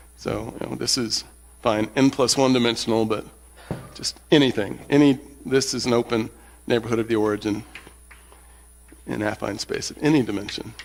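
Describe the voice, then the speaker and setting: Pausing long and often, a man speaks at a moderate pace with a medium pitch, fairly even intonation and vocal fry. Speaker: mathematics lecturer. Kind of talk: lecture. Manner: hesitant, many fillers.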